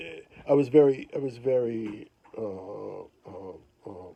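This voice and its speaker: Using ordinary pitch variation, a man talks at a medium pitch. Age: 60s. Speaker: recording engineer. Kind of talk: interview. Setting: home. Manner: halting, many fillers and repetitions.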